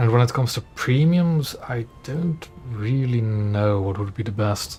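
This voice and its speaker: Over noticeable background noise, a man speaks at a fairly slow pace and medium pitch with ordinary pitch variation. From Belgium. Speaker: gaming streamer. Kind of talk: casual gameplay commentary. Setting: live stream.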